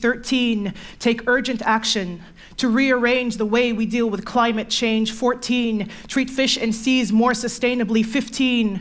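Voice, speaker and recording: Her intonation monotone and flat, a woman talks at a fairly slow pace. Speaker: poet. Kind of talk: slam poetry performance. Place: stage.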